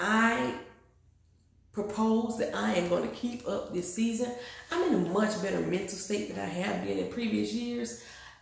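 Audible room echo hangs over speech delivered at a moderate pace. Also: woman. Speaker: TV show reviewer. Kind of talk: casual vlog chat. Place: bathroom. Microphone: phone near.

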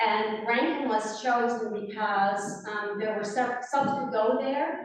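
Audible room echo follows a woman speaking at a fairly high pitch. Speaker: school board official presenting to council. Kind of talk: council meeting presentation. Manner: halting, many fillers.

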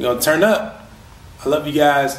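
A man at a moderate pace, with audible room echo. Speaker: vlogger. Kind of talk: casual vlog chat. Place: home room. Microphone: phone near.

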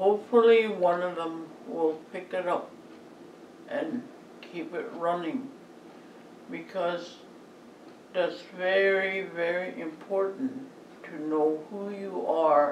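A woman speaking at a very slow pace with long, frequent pauses, ordinary pitch variation, big swings in loudness, audible room echo, and light background noise. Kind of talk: recorded address to a conference. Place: home room. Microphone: phone near.

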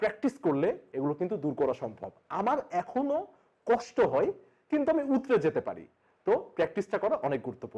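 A man with a slight southern Bengal accent speaks at a high pitch in a dark, mellow tone. His pitch swings very widely against a quiet background. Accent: slight southern Bengal traits in sibilants. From Bangladesh, Kushtia (southern Bengal); Bangladesh. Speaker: online teacher. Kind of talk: lecture. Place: studio.

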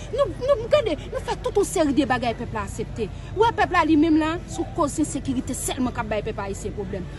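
Over crowd noise in the background, the speaker talks in an animated tone at a fairly quick pace, with very wide pitch swings, hardly any pauses and a dry sound with no echo. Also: woman, high pitch for a woman. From Haiti. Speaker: street spokesperson. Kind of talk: political rant. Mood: angry, indignant. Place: garden.

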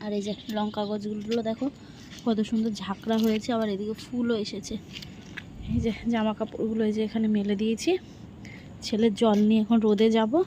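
A woman with a fairly high pitch sounds somewhat breathy and speaks in a monotone, flat intonation. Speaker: homemaker vlogger. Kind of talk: casual vlog narration.

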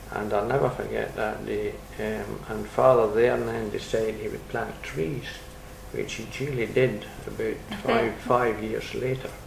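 A man speaks at a fairly slow pace. There is light background noise and audible room echo. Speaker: interviewee. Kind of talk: interview answer. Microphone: old recording.

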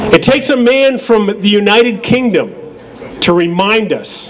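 Over light background noise, a man speaks loudly with ordinary pitch variation. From New Hampshire. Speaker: rally emcee. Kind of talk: rally speech. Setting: outdoor rally with crowd. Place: street. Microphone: podium.

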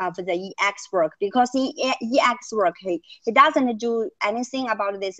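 With a Chinese accent and lively intonation, a woman talks at a fairly high pitch against a quiet background. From China. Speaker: freight forwarder guest; guest. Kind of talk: webinar presentation and interview. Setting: video call. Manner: halting.

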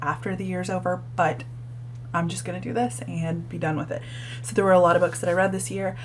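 A woman speaks quietly at a very fast pace over noticeable background noise. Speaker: book reviewer. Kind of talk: casual talk to camera.

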